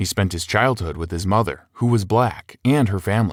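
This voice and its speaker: On a very clean recording with a silent background, a man with an unremarkable speaking voice talks at a moderate pace, his pitch fairly low and his intonation lively. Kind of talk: book summary narration.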